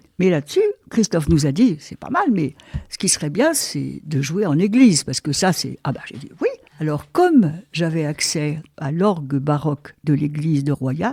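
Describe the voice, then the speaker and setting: Very deep, low-pitched woman, somewhat breathy with a dark, mellow tone, lively intonation, big swings in loudness and a moderate pace, in a dry, close sound with no echo. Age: 90s (80s+). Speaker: amateur musician. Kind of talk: interview. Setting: at home.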